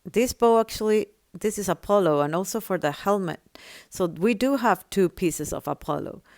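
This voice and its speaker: A woman's medium-pitched voice with a non-native accent and ordinary pitch variation, dry and close with no echo, on a very clean recording with a silent background. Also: moderate pace. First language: not English. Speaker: gaming tutorial creator. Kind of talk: tutorial.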